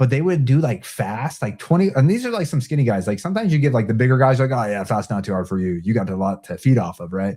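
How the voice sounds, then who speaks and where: In a very clean recording with a silent background, a man with an American accent speaks very fast in a dark, mellow, somewhat breathy tone, at a medium pitch with very wide pitch swings. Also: hardly any pauses. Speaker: Marine veteran. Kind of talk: casual interview chat. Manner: casual, filler-heavy.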